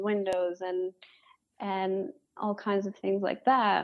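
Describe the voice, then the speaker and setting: A woman with a Michigan accent speaks at a fairly slow pace and medium pitch, her intonation fairly even, on a very clean recording with a silent background. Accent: Michigan (Inland North) American. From Metro Detroit, Michigan. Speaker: architect. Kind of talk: interview.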